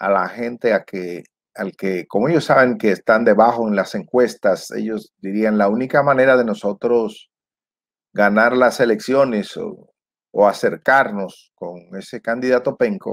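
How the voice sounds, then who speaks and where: A man speaks fairly slowly with ordinary pitch variation. The background is quiet. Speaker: political commentator. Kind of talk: commentary. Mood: frustrated, critical. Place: home room. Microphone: lapel.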